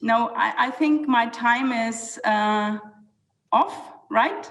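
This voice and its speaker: A fairly high-pitched woman with a German accent. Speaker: city planning official. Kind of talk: panel talk. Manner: halting.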